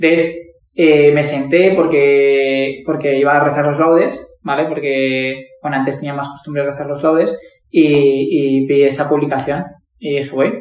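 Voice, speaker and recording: Speaking at a fairly slow pace, a man uses a fairly high pitch and fairly even intonation, with audible room echo around him. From Valencia, Spain. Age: 20s. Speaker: primary school teacher. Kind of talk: testimony.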